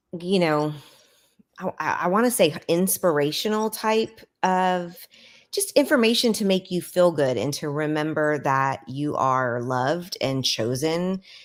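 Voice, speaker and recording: In a very clean recording with a silent background, a woman with a fairly low pitch and an unremarkable speaking voice talks at a fairly slow pace with lively intonation. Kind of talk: casual chat. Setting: live stream.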